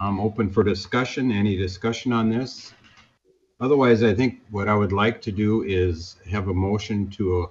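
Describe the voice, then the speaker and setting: This man has an ordinary speaking voice, pitched fairly low. He talks at a fairly slow pace with ordinary pitch variation. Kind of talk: meeting chairing. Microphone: video call.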